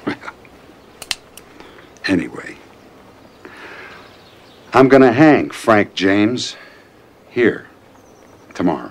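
A put-on character voice with big pitch swings, a very slow pace and long, frequent pauses. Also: man, fairly low pitch for a man.

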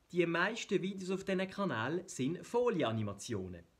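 Moderate pace and very wide pitch swings from a man with a high pitch. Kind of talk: explainer video narration.

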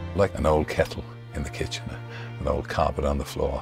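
A man speaks at a fairly quick pace in a very deep, low pitch. Music plays clearly in the background. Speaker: radio presenter. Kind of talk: interview answer. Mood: warm, reflective. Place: studio. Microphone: studio mic.

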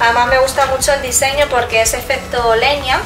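Over clear music in the background, a woman talks at a high pitch and a fairly quick pace with fairly even intonation.

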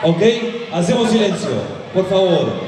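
A high-pitched man with audible room echo and light background noise. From Argentina. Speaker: event panel interviewer. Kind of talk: live stage interview. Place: stage. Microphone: pa.

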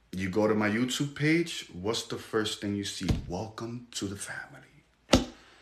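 Over noticeable background noise, a man speaks fairly slowly in a fairly low, animated voice. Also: ordinary pitch variation, hardly any pauses. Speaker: livestream host. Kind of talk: livestream talk show. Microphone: phone near.

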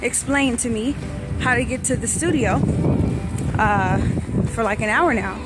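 A woman's voice comes through in a dry sound with no echo while clear music plays in the background. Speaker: traveler vlogger. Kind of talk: casual vlog chat. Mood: amused, cheerful.

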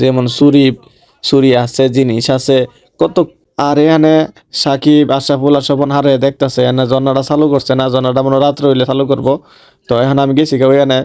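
A dark, mellow tone with monotone, flat intonation, very even loudness and an eastern Bangladeshi accent. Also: man. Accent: Brahmanbaria regional Bengali dialect. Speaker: vlogger. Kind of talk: vlog narration. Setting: outdoors at a fair.

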